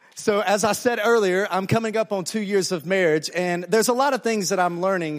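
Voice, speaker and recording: With a Southern US accent, this man talks in a high pitch at a fairly quick pace, sounding animated, with ordinary pitch variation and hardly any pauses. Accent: Southern American. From US South, Alabama. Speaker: pastor. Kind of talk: sermon. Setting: church with audience, interpreted.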